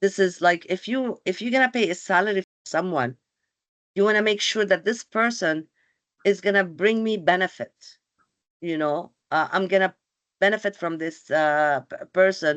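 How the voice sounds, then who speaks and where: A woman speaks with a non-native accent and ordinary pitch variation. The sound is dry and close with no echo, over a quiet background. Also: medium pitch for a woman, moderate pace. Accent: has a foreign. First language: not English. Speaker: employment counselor. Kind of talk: webinar presentation. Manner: hesitant, many fillers.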